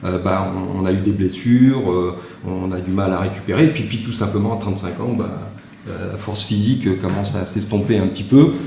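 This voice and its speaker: A man talks at a fairly quick pace, with audible room echo and noticeable background noise around him. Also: fairly low pitch for a man, ordinary pitch variation. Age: 60s. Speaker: martial arts teacher. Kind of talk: panel talk. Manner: halting, many fillers and repetitions.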